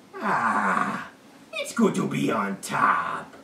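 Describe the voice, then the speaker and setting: A man puts on a cartoonish character voice at a medium pitch. Clear background noise runs beneath him. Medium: puppet. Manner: curt, dismissive.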